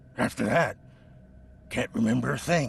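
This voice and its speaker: A raspy put-on character voice at a moderate pace, with clear background noise. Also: man, medium pitch for a man. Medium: video game. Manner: stammering, defensive.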